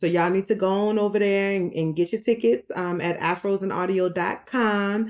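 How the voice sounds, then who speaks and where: A woman with a medium-pitched voice speaks at a moderate pace, her pitch varying in an ordinary way. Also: hardly any pauses. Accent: American. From New Orleans, Louisiana. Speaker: therapist and podcast host. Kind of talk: casual interview chat. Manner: hesitant, many fillers.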